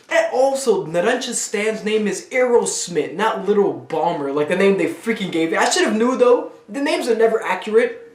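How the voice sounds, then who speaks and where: Amid noticeable background noise, a high-pitched man sounds animated, with very wide pitch swings, speaking at a moderate pace with hardly any pauses. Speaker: anime reaction youtuber. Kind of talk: live reaction commentary. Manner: casual, animated exclamations.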